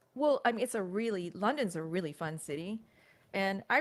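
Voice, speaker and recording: This is a woman with an American accent. She talks at a moderate pace. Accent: sounds American. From United States. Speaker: crypto commentator. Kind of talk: casual livestream chat.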